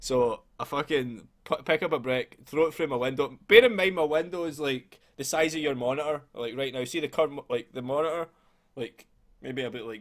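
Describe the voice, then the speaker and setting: On a very clean recording with a silent background, a man with a Scottish accent speaks at a fairly quick pace in a fairly high voice with ordinary pitch variation. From Scotland. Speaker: podcast host. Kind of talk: casual chat. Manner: animated.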